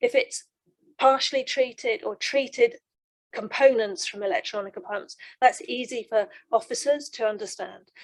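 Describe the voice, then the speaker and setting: The voice moves with lively intonation and big swings in loudness. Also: woman, high pitch for a woman. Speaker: waste management industry representative. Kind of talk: panel discussion remark. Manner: fast; hesitant with many fillers.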